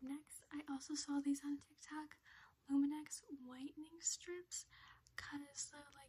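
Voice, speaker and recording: A high-pitched female voice at a fairly slow pace. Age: 20s. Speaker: ASMR creator. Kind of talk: ASMR birthday haul talk to camera. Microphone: phone near.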